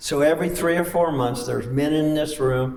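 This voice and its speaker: A man with ordinary pitch variation, audible room echo, and noticeable background noise. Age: 80s+. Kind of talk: talk to a men's group.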